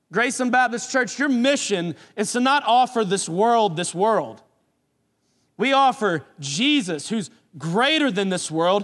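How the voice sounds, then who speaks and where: Against a quiet background, a man with a Southern US accent and a high pitch for a man speaks with lively intonation. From US South, New Orleans and South Carolina. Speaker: pastor. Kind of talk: sermon. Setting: church.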